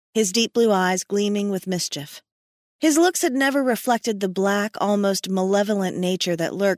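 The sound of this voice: The clip features an unforced reading voice, and its pitch varies in an ordinary way. Nothing can be heard in the background.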